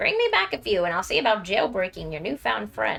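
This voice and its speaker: A woman puts on a character voice at medium pitch. Background noise is clearly heard. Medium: game stream. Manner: gruff, brusque.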